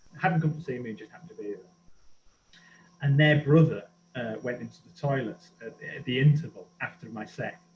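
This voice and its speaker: Over background music, a man talks at a fairly quick pace with long, frequent pauses, his fairly high pitch showing ordinary variation and his loudness swinging widely. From northern England, Middlesbrough. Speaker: archaeologist and comedian. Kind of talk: casual chat. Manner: animated.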